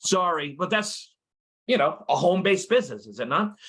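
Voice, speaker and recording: A man's raised, projected voice, high-pitched, bright and sharp, at a fairly quick pace with ordinary pitch variation. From New York City. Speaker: network marketing presenter, retired firefighter. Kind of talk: business opportunity presentation. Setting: at home, online call. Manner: fast.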